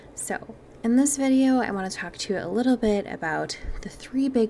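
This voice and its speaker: A woman talks at a moderate pace, her pitch varying in an ordinary way, while noticeable background noise carries on behind her. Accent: Wisconsin. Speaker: mindset and manifestation podcast host. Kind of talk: podcast monologue. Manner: casual, chatty.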